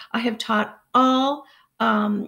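Somewhat breathy, a woman with an American accent speaks with fairly even intonation against a quiet background. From United States. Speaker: English language teacher. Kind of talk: job introduction video to camera. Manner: hesitant, many fillers. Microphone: webcam.

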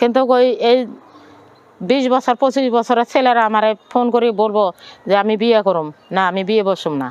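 With a plain, everyday voice, a woman speaks at a fairly high pitch with ordinary pitch variation and very even loudness. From Bangladesh, Noakhali (Sonaimuri). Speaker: widow, former migrant domestic worker. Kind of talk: personal testimony interview.

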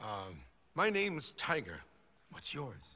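A man performs a cartoonish character voice at a medium pitch, with a bright, sharp tone. His pitch swings widely as he speaks at a slow pace.

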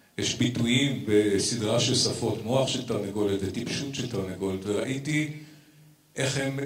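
A man talks at a fairly slow pace amid audible room echo. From Israel. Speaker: vegan activist and theatre director; speaker. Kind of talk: conference speech. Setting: stage with audience. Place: stage. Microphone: handheld.

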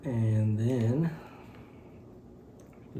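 A man's medium-pitched voice, dark and mellow in tone, with audible room echo.

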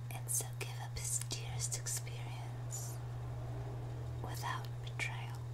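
A very slow pace against loud background noise. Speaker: ASMR reader. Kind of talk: binaural ASMR audiobook reading. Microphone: studio mic.

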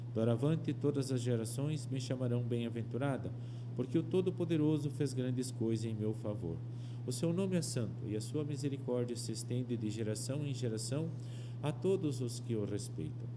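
Moderate pace from a man with fairly even intonation amid noticeable background noise. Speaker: priest. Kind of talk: scripture reading. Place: studio. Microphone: podium.

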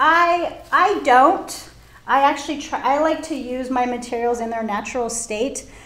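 A woman with a Californian accent, high-pitched and lively in intonation, at a fairly slow pace with audible room echo. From Orange County, California. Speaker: floral design teacher. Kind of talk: live tutorial. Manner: animated. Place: studio.

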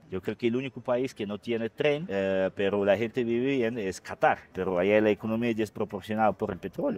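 Here a man speaks at a moderate pace in a fairly low pitch with ordinary pitch variation. The sound is dry, with no echo. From Russia. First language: Russian (speaking Spanish). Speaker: mayor. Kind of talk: interview. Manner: halting. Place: street. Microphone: lapel.

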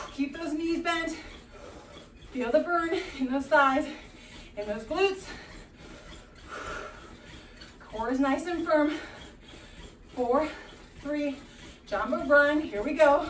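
With a high pitch, a woman speaks at a very slow pace with long, frequent pauses, amid light background noise and audible room echo. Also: ordinary pitch variation. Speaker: fitness instructor. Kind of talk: workout instruction. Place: home room.

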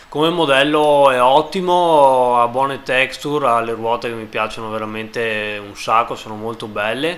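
A man's medium-pitched voice at a moderate pace, with ordinary pitch variation, big swings in loudness and hardly any pauses, over noticeable background noise. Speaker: gaming video creator. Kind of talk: game mod presentation. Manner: casual, with filler hesitations.

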